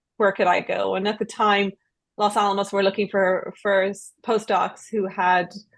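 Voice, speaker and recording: In an Irish accent, a woman speaks at a moderate pace with a medium pitch and monotone, flat intonation. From Ireland. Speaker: research development professional. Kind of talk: panel discussion.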